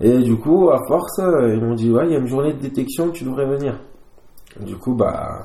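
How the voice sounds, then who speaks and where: Audible room echo and noticeable background noise surround a man speaking at a moderate pace. His fairly high pitch has ordinary variation. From southern France. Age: 20s. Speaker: rugby player. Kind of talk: casual interview. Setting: at his home. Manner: halting.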